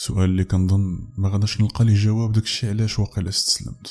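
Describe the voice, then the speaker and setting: Somewhat breathy, with a dark, mellow tone, the voice keeps its intonation fairly even. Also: man. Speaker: horror story narrator. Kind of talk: first-person story narration as a woman protagonist.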